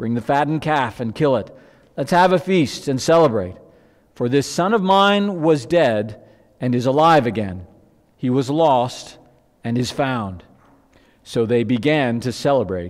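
The background is quiet as a man talks at a fairly slow pace. He leaves long, frequent pauses. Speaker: pastor. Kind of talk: scripture reading in sermon. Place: church. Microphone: headset.

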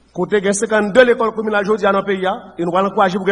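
With a high pitch and fairly even intonation, a man talks at a fairly quick pace over noticeable background noise. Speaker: education minister. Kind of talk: formal speech.

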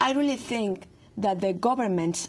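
A woman speaks in a somewhat breathy voice with a Spanish accent. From Mexico. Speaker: investigative journalist. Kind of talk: interview. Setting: studio. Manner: halting, many fillers and repetitions.

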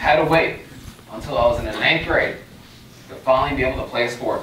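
Amid light background noise and audible room echo, a man with an American accent talks at a very fast pace in an upbeat tone. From Long Island, New York. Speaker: youth motivational speaker. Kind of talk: motivational pep talk to a university audience. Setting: stage with audience. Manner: earnest, emphatic, direct; upbeat, inspiring, warmly humorous. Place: hall.

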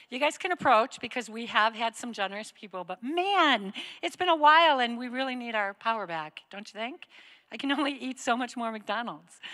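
A woman speaks at a fairly quick pace, her pitch high. The background stays quiet. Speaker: church campus director host. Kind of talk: church announcements and welcome. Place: stage. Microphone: handheld.

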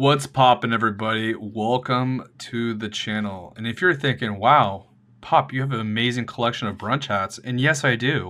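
The man's pitch varies in an ordinary way as he speaks. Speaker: vlogger. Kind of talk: casual vlog chat. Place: home room.

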